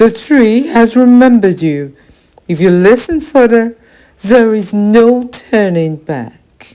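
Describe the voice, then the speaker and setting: In a put-on character voice, a woman speaks at a fairly high pitch and a fairly slow pace with lively intonation and some hissing. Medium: read story. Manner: hissing, severe.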